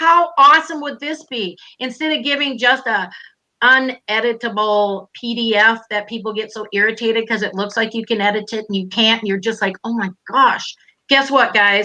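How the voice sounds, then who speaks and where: With an animated tone, a woman speaks in a Minnesotan accent at a moderate pace, her fairly high pitch showing ordinary variation. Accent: Minnesota. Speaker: online business coach. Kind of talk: live stream interview. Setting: live stream video call.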